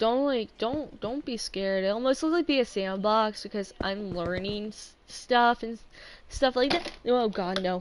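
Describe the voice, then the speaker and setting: Her pitch varies in an ordinary way as a woman speaks at a moderate pace. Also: fairly high pitch for a woman. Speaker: gaming streamer. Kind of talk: casual gameplay livestream talk. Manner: quiet; halting, many fillers.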